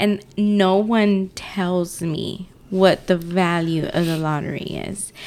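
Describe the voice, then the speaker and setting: Pitched in the medium range, a woman speaks very slowly with a playful tone and fairly even intonation. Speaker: podcast co-host. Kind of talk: casual chat. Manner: playful, teasing.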